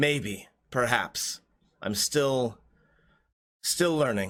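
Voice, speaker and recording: At a very slow pace, a man delivers his lines. He does a put-on character voice at a medium pitch. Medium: actual play. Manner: measured, hesitant.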